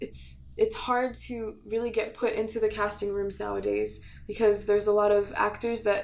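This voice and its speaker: A woman with a fairly high pitch talks at a moderate pace. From Quebec and Ontario, Canada (Montreal, Ottawa). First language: French. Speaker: emerging actress. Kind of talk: documentary interview. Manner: hesitant with many fillers.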